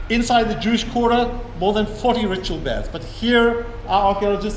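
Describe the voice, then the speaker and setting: Against noticeable background noise and audible room echo, a man with a high pitch talks at a fairly quick pace. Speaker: tour guide. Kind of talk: guided tour talk. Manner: fast.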